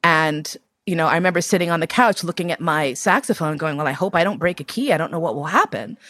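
In a dry, close sound with no echo, a woman with an American accent speaks at a very fast pace. Her voice is fairly low in pitch, with a bright, sharp tone and ordinary pitch variation. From New York City. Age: 50s. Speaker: BDSM educator and writer. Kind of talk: life story interview.

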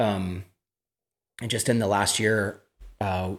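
Recorded very cleanly with a silent background, a man with an American accent talks at a moderate pace in a fairly low pitch with fairly even intonation. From California. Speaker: singer and songwriter. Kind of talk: casual chat.

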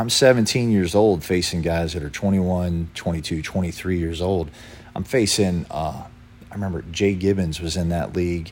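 With an American accent, a man speaks in a very deep, low voice with fairly even intonation. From Lynchburg, Virginia. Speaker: former pro baseball pitcher. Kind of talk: casual interview.

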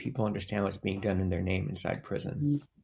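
Lively intonation with vocal fry, delivered at a fairly quick pace. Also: man. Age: 60s. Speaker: formerly incarcerated man, hospice advocate. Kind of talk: casual interview conversation.

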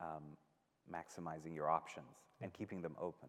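Speaking with a very deep, low pitch, a man keeps a moderate pace and fairly even intonation. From Iran. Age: 30s. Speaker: journalist and author. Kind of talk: live talk conversation.

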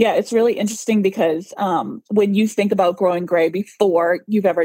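A woman with an American accent speaks fairly quickly at a medium pitch, with ordinary pitch variation. Her tone is dark and mellow, and the sound is dry and close with no echo. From Boston. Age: 40s. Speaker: clean beauty blogger. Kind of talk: interview.

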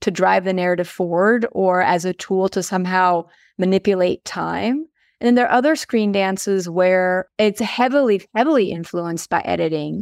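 This woman has a plain, everyday voice with an American accent, a medium pitch and ordinary pitch variation. She talks at a moderate pace, and the sound is dry and close with no echo. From French-speaking Switzerland, raised in the US from fourth grade. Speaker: dance professor. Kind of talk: interview.

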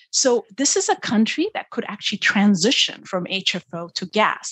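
Her pitch is fairly high, and her intonation is lively. This woman also sounds somewhat breathy. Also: dry, close sound with no echo, quiet background. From Ethiopia. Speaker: development finance executive. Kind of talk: interview.

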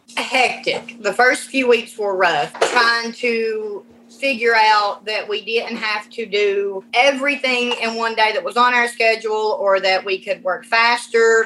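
At a fairly slow pace, a woman speaks with a fairly high pitch and fairly even intonation against noticeable background noise. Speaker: parent. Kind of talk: interview.

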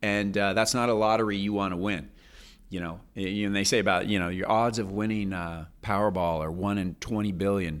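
A man with a fairly low pitch speaks at a fairly quick pace with fairly even intonation. Audible room echo surrounds his voice. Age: 50s. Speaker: physician and diet book author. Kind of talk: casual chat.

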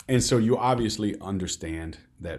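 A man with an American accent speaks at a moderate pace. His voice is somewhat breathy. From US Midwest. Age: 40s. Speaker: podcast host. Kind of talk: interview conversation.

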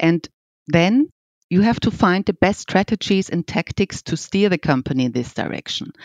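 With a German accent, a woman speaks at a moderate pace and fairly low pitch, her voice swinging very widely. The sound is dry and close, with no echo. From Austria. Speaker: piano company executive. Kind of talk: interview.

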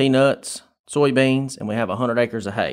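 A man with a Southern US accent speaks at a medium pitch with fairly even intonation, on a very clean recording with a silent background. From Tifton, south Georgia, US. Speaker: research farm manager. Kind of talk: interview.

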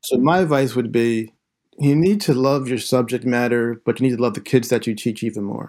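On a very clean recording with a silent background, a man with a plain, everyday voice and an American accent speaks at medium pitch and a fairly quick pace, with ordinary pitch variation. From southeastern Pennsylvania, Philadelphia suburbs. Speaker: high school English teacher and author. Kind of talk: interview conversation.

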